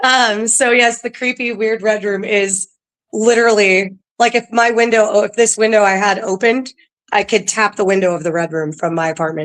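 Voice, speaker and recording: Speaking at a moderate pace with an American accent, a woman uses a fairly high pitch and ordinary pitch variation. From California. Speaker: ghost tour guide. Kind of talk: casual interview. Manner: halting, many fillers.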